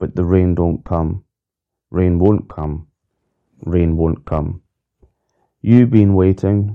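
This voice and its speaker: A very slow delivery in a Scottish accent. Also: man. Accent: Scottish brogue. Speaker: podcast host reading song lyrics. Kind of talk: reading aloud. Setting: solo recording, one unedited take. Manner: flat spoken reading of lyrics.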